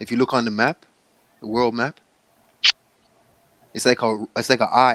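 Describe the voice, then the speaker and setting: A man talks with a Jamaican accent in a dry, close sound with no echo. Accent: Jamaican-tinged. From Canada, Toronto (born in Jamaica). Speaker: livestream host. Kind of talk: casual chat.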